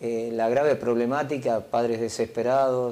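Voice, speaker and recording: Slow-ish and flat, a man speaks with a dark, mellow tone at a medium pitch, his intonation monotone and his pace fairly slow. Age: 50s. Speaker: provincial government minister. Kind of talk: TV interview. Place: studio. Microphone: lapel.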